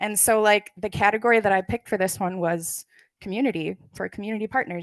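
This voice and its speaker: A plain, everyday voice from a woman at medium pitch, speaking at a fairly quick pace with ordinary pitch variation against a quiet background. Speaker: librarian presenter. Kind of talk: conference presentation Q&A.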